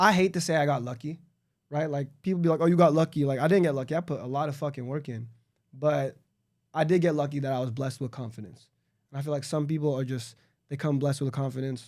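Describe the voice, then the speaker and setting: Speech comes at a very fast pace with ordinary pitch variation on a very clean recording with a silent background. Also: man, fairly high pitch for a man. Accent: Southern California. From Los Angeles suburb, California. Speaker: entrepreneur. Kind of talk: casual chat.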